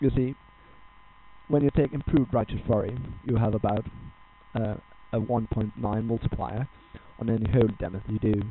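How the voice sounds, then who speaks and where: A man with a Danish accent, his fairly quick pace broken by long, frequent pauses. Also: medium pitch for a man. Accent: non-native English, Danish. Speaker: gaming guide creator. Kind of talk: tutorial. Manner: halting.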